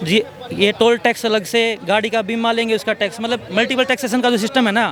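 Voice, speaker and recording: A man speaks at an extremely high pitch with very even loudness. Noticeable background noise runs underneath. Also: fairly even intonation. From Haryana. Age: young. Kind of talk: street debate answer.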